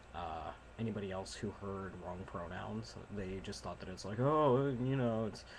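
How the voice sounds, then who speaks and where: Quiet and fairly slow, a man with a fairly low pitch speaks in very wide pitch swings. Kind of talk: casual talk to camera.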